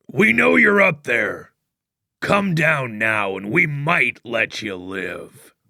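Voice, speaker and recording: A man growls in a put-on character voice at a fairly high pitch. He goes very slowly, and his pitch swings very widely. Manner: stern, threatening.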